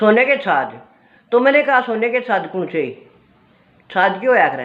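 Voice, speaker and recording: A woman is speaking. She has a Haryanvi accent. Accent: Haryanvi-accented Hindi. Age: 60s. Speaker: cultural storyteller, video creator. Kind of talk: casual talk on culture and memories.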